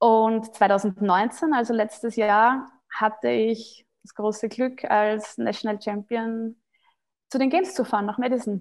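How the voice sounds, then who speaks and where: A woman's fairly high voice at a very slow pace, with ordinary pitch variation and big swings in loudness, on a very clean recording with a silent background. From Austria. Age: 30s. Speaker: CrossFit athlete. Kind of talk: podcast interview.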